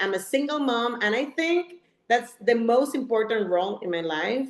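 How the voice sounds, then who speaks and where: A woman in a Puerto Rican accent speaks at a moderate pace with lively intonation. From Puerto Rico, west side. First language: Spanish. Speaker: real estate agent and business coach. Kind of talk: presentation. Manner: slightly halting, self-correcting.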